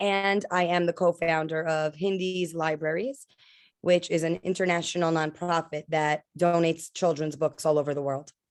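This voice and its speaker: A woman with a New York accent, fairly low in pitch, her intonation fairly even, in a dry, close sound with no echo against a quiet background. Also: moderate pace. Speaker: school administrator and nonprofit co-founder. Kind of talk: interview testimony.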